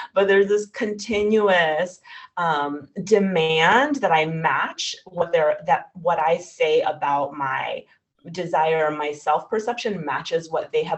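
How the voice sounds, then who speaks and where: A woman speaks in a fairly low voice with lively intonation. Her pace is fairly slow. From New York. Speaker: writer. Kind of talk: Q&A answer at a virtual reading.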